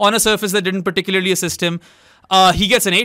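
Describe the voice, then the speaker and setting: A man raises and projects his voice at a high pitch. His tone is bright and sharp. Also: very clean recording, silent background. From Pakistan. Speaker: cricket podcast co-host. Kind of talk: casual sports discussion. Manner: animated.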